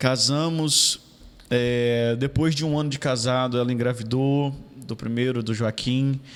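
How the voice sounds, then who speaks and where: With a plain, everyday voice, a man speaks at a medium pitch and with fairly even intonation. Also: fairly slow pace. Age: 30s. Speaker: city councillor. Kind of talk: casual interview.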